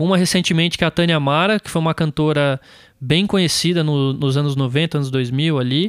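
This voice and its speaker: A man's plain, everyday voice, fairly high in pitch, at a fairly quick pace, with ordinary pitch variation and very even loudness. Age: 20s. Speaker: music producer and studio owner. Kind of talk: casual interview.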